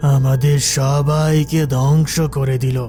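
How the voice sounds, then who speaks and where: Over clear background music, a man uses a cartoonish character voice with a fairly high pitch at a very slow pace. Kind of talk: cartoon ghost-story acting. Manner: solemn, measured.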